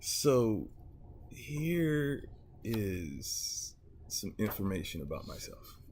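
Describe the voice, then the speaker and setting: Audible room echo surrounds a man as he talks. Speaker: YouTuber commentator. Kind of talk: casual vlog monologue. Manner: slow; halting, many fillers.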